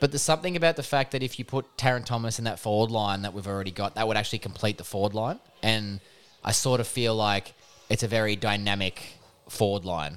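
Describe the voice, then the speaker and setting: With an Australian accent, a man with a fairly low pitch speaks at a very fast pace and ordinary pitch variation. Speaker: podcast co-host, sports talk. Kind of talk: casual banter about sport.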